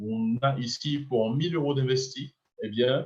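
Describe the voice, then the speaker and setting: A man speaks at a medium pitch, somewhat breathy, with ordinary variation in pitch. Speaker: business opportunity presenter. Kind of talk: sales pitch.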